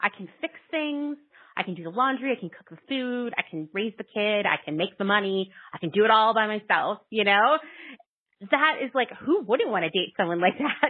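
A woman's unremarkable speaking voice, fairly high in pitch, with lively intonation, big swings in loudness and a moderate pace. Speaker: parent formerly working in fashion. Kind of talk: casual chat.

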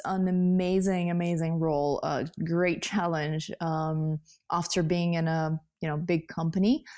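A woman speaks with a Russian accent. Her pace is fairly slow. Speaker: software developer and coding influencer. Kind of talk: interview. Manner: laughs often.

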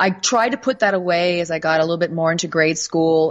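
With an American accent, a woman talks in an ordinary speaking voice at a fairly low pitch, a moderate pace and ordinary pitch variation. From United States. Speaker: author and spirit communicator. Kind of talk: casual interview.

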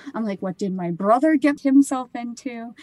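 A woman speaks with a Midwestern American accent. The sound is dry and close, with no echo. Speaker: photographer and grocery worker. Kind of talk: testimony.

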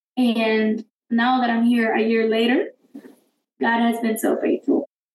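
With a Spanish accent, a woman speaks at a fairly high pitch in a monotone with flat intonation. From Guatemala. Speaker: college alumna and campus ministry volunteer. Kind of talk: casual interview, personal testimony.

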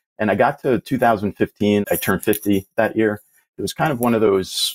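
Recorded dry and close with no echo and a silent background in a very clean recording, a man with fairly low pitch and ordinary pitch variation speaks in an ordinary speaking voice. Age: 50s. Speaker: IT professional and passive investor. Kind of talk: casual interview.

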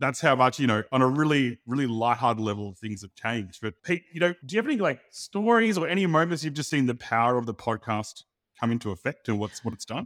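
Speaking very fast with hardly any pauses, a man with an Australian accent uses medium pitch and lively intonation. The recording is very clean with a silent background, and the sound is dry and close with no echo. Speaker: podcast co-host. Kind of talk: casual chat. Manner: fast talker.

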